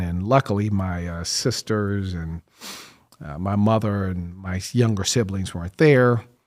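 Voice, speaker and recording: With an ordinary speaking voice, a man talks at a moderate pace in a fairly low pitch. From US Midwest, Kansas and Chicago area. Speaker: entrepreneur. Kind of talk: interview.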